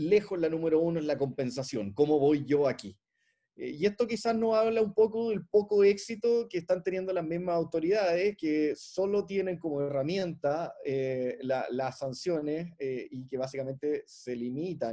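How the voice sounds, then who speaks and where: A man speaks at a fairly high pitch. His voice swings very widely in pitch. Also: hardly any pauses. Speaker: competition lawyer and consultant, discussant. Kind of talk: academic panel commentary. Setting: online video conference. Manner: fast; hesitant with frequent fillers and repetitions.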